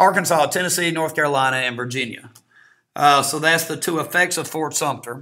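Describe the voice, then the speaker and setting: At a fairly quick pace, a man talks at a fairly high pitch with fairly even intonation. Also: very clean recording, silent background. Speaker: history teacher. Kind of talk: lecture. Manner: fast; casual, hesitant with fillers.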